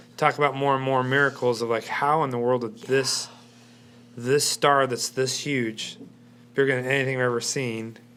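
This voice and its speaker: A loud man speaks at medium pitch and a moderate pace. His intonation is monotone and flat, with a bright, sharp tone. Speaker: church talk show host. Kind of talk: live panel discussion. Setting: live-streamed studio show.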